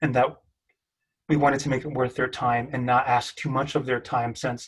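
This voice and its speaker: A man speaks at a medium pitch in a monotone, flat intonation. His voice is somewhat breathy. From Mexican American. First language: Spanish. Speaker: PhD student researcher. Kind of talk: panel discussion.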